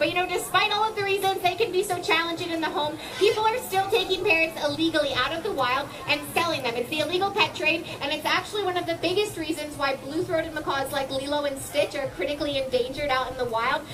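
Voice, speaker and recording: Against noticeable background noise, a woman speaks very fast in an extremely high pitch with ordinary pitch variation. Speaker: presenter. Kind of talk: educational show commentary. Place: garden.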